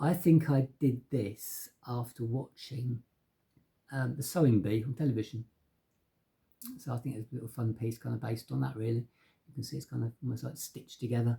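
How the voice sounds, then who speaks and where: A man with an English accent speaks at a medium pitch in a dark, mellow, somewhat breathy tone. His intonation is fairly even, and he leaves long, frequent pauses. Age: 50s. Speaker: painter. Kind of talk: casual talk to camera about his artworks. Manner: casual, with many fillers and hesitations.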